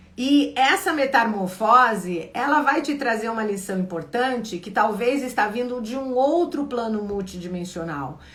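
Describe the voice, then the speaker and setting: Fairly high-pitched, a woman talks at a fairly slow pace with lively intonation and hardly any pauses. Her loudness swings widely, and both room echo and background noise are noticeable. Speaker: spiritual coach. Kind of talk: live Q&A stream. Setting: livestream.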